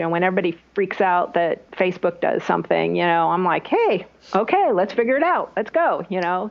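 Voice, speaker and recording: A woman's voice at a very even loudness, over noticeable background noise. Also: hardly any pauses. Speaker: online business strategist. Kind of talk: interview answer.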